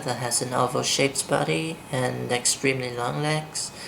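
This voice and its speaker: Someone speaks at a fairly slow pace in a Vietnamese accent. Noticeable background noise runs underneath. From southern Vietnam, Saigon. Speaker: vlogger. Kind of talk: accent tag vlog, questionnaire answers and opinion rant. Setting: filming at home in the dark.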